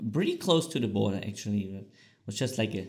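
The voice belongs to a man with a German accent. His tone is dark and mellow. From East Germany. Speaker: podcast co-host. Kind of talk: casual chat.

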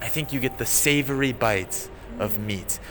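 A man speaks with a medium pitch. Noticeable background noise sits behind him. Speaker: podcast co-host teaching English and Japanese. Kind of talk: casual chat.

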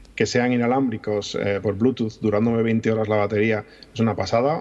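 In a Madrid accent, a man with a fairly low pitch talks at a fairly quick pace in a monotone, flat intonation. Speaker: podcaster and YouTuber. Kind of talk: casual chat.

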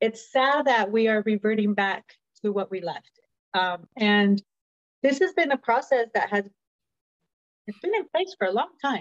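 A woman with a Spanish accent, a fairly high pitch and lively intonation at a moderate pace with long, frequent pauses, her sound dry and close with no echo. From Mexican heritage. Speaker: podcast guest. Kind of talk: political talk show.

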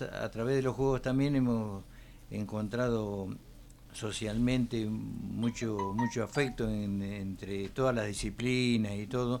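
The man speaks at a very slow pace. His pitch varies in an ordinary way. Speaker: former footballer. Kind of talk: radio interview.

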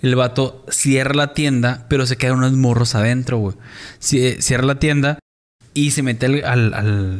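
With an ordinary speaking voice, a man talks at medium pitch and fairly even intonation. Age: 30s. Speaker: podcast co-host. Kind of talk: casual chat.

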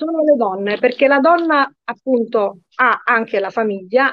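A woman with an ordinary speaking voice talks at a moderate pace. Her intonation is lively. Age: 50s. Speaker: lawyer. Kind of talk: interview.

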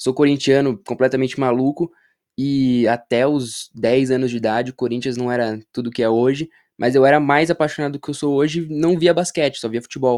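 A man with an ordinary speaking voice talks at a medium pitch and a fairly quick pace with fairly even intonation. The sound is dry and close with no echo over a quiet background. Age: 20s. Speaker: basketball content creator. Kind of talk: casual chat.

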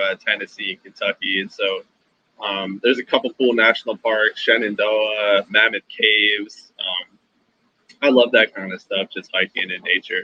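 A man with an American accent speaks in a plain, everyday voice, fairly low in pitch with fairly even intonation. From Philadelphia, Pennsylvania. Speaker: engineer in the oil and gas industry. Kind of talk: casual chat.

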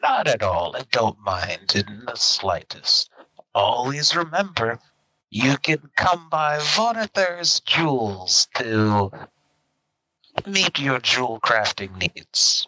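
In a put-on character voice, a man speaks at a fairly high pitch. His delivery is very slow, with very wide pitch swings. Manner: polite, salesman-like.

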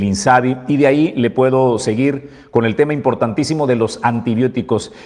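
A man speaks at a moderate pace in a normal speaking voice. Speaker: news show host. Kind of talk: news commentary. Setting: studio.

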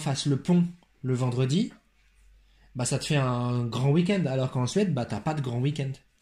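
In a very clean recording with a silent background, a man speaks at a fairly slow pace with a dark, mellow, somewhat breathy tone, medium pitch and ordinary pitch variation. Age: 20s. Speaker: teacher. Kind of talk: casual chat.

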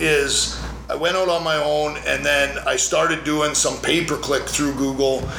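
Noticeable background noise and audible room echo surround a man speaking at a fairly slow pace with very even loudness. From Canada (Calgary, Alberta). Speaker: lawyer. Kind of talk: casual interview. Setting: his law office.

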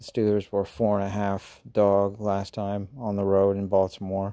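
A man's dark, mellow, fairly low voice with an American accent and flat, monotone intonation against a quiet background. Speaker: sports betting podcaster. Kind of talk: solo casual monologue. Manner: halting, many fillers.

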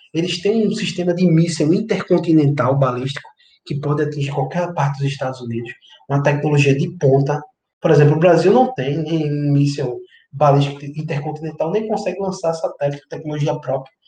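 Somewhat breathy and dark, mellow in tone, a man talks at a fairly quick pace with a fairly high pitch and ordinary pitch variation. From Brazilian Northeast (Recife area). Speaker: history commentator. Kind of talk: interview.

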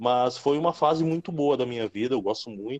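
A man's dark, mellow tone at a fairly quick pace, with a dry, close sound and no echo. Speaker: pro wrestler. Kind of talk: casual interview.

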